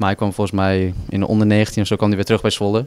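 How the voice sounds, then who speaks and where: Against a quiet background, a man with a fairly low pitch speaks at a very fast pace in a dry sound with no echo. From Netherlands, Overijssel (Dedemsvaart); Overijssel. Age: 20s. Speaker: footballer. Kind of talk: interview. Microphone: handheld.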